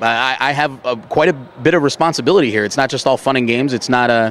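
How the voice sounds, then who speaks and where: Over noticeable background noise, a man with an American accent talks at a very fast pace, his medium pitch showing ordinary variation. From Baltimore, Maryland. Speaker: baseball stadium public address announcer. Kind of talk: interview answer.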